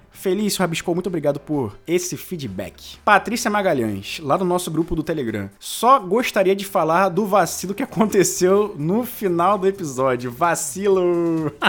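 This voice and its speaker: Pitched high for a man, he speaks at a moderate pace with hardly any pauses. His tone is animated and his intonation lively. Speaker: podcast host. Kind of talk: casual chat. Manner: animated, laughing often.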